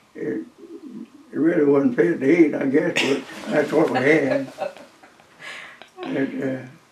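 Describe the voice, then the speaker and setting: Against audible room echo and noticeable background noise, a man with a fairly high pitch talks at a fairly slow pace, using ordinary pitch variation and long, frequent pauses. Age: 90s. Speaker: war veteran. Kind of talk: interview storytelling. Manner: halting.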